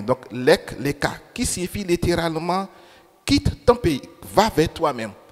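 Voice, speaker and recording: Against noticeable background noise, a man with a non-native accent and a fairly high pitch speaks at a very slow pace with very wide pitch swings. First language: not French (speaking French). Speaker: preacher. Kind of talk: sermon.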